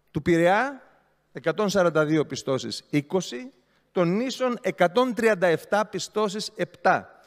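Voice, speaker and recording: Against a quiet background, a man speaks at a very slow pace with long, frequent pauses. His high pitch has lively intonation. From Greece. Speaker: regional councillor, opposition party leader; regional councillor. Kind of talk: council speech. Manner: sarcastic, animated. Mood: mocking, ironic. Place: hall. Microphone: podium.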